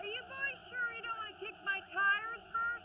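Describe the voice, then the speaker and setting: Using a squeaky, put-on character voice at an extremely high pitch, a woman speaks at a moderate pace over noticeable background noise. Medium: short film. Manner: wry, rambling, hesitant.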